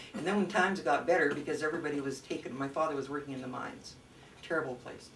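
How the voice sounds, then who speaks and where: Noticeable background noise sits under a woman with a Canadian accent. She talks at a very fast pace with a very deep, low pitch and ordinary pitch variation. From Canada, Nelson BC. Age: 70s. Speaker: interviewee. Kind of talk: oral history interview. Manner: halting, many fillers.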